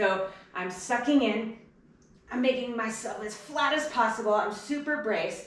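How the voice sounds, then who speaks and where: A woman's strained, put-on character voice at a fairly high pitch and a moderate pace, with audible echo. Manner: tense, demonstrating bad posture.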